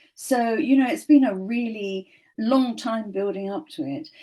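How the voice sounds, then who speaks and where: Speaking in a British accent at a moderate pace, a woman with a fairly high pitch sounds somewhat breathy, her tone dark and mellow. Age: 70s. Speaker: show co-host and author. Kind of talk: panel discussion. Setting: studio.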